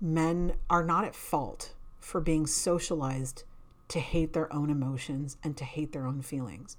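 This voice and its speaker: The woman's voice is very deep and low in pitch. She speaks at a fairly slow pace amid audible room echo. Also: fairly even intonation. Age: 40s. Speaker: life coach podcast host. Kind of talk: personal monologue.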